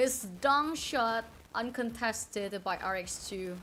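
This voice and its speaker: Speaking very slowly with an Indonesian accent, the voice shows ordinary pitch variation. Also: woman. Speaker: esports caster and streamer. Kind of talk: live commentary. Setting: live stream. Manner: halting.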